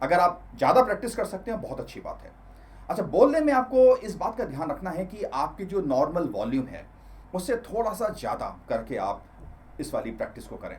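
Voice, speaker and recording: A man's loudness swings widely while he holds a moderate pace. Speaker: self-improvement coach. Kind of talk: tutorial.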